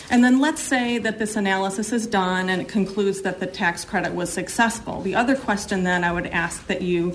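A woman's ordinary speaking voice at medium pitch, with ordinary pitch variation, a fairly quick pace and hardly any pauses. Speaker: citizen testifying at hearing. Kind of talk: public testimony. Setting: legislative hearing room.

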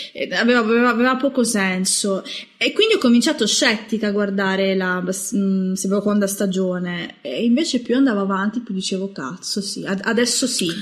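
Through noticeable background noise, a woman talks at a moderate pace and a medium pitch with ordinary pitch variation. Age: 20s. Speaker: horror film writer. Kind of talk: casual chat.

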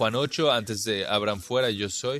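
A man with a fairly low pitch and a bright, sharp tone talks at a very slow pace. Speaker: Bible teacher. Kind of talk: Bible study lecture.

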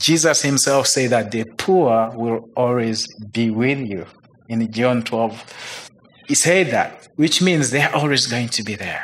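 A man speaks at a very slow pace with a Ugandan accent. His pitch varies in an ordinary way, over noticeable background noise. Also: medium pitch for a man. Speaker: missionary. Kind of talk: testimony. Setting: stage with audience.

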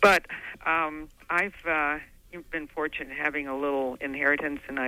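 A woman's very deep, low voice with a bright, sharp tone, fairly even intonation and a moderate pace. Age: 80s+. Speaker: caller. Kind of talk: call-in comment.

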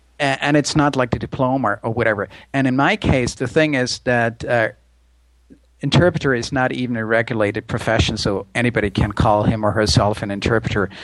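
A man with a German accent talks at a fairly quick pace, his medium pitch showing ordinary variation. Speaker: interpreter and language video creator. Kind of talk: casual chat.

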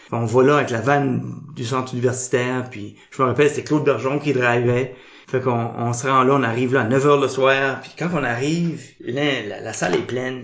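In an Acadian accent, a man at medium pitch speaks with fairly even intonation and big swings in loudness, over noticeable background noise and audible room echo. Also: moderate pace. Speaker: improviser. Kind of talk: casual interview.

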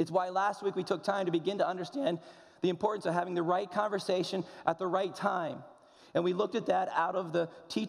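Fairly even intonation runs through an unforced reading voice.

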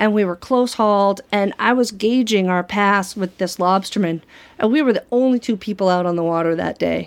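Recorded very cleanly against a silent background, a woman with an American accent speaks at a moderate pace in a medium pitch. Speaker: tour boat captain. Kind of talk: personal storytelling. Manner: halting.

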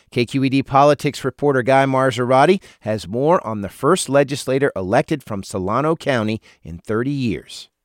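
In a plain, everyday voice, a man of medium pitch talks at a fairly quick pace with ordinary pitch variation, the sound dry and close with no echo on a very clean recording with a silent background. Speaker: radio news anchor. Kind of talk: news reading, brisk, scripted radio newscast. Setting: studio. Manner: formal; measured.

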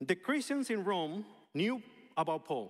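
A man with a Spanish accent speaks at high pitch. The recording is very clean, with a silent background. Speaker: pastor. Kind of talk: sermon.

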